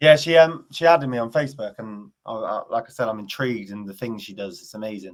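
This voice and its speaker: Speaking at a very fast pace with hardly any pauses, a man with an English accent shows big swings in loudness. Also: medium pitch for a man, ordinary pitch variation. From England. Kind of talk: casual chat.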